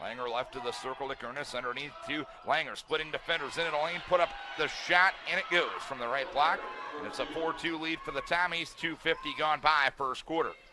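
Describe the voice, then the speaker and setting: Against noticeable background noise, a man with a fairly high pitch and ordinary pitch variation speaks at a fairly quick pace. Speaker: sports play-by-play announcer. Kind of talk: radio style play-by-play. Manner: fast.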